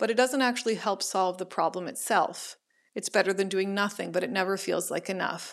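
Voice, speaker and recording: In a Canadian accent, a woman with a plain, everyday voice at a medium pitch talks at a fairly quick pace with fairly even intonation on a very clean recording with a silent background. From Ottawa, Canada. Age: 30s. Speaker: professor and living organ donor. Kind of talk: personal storytelling.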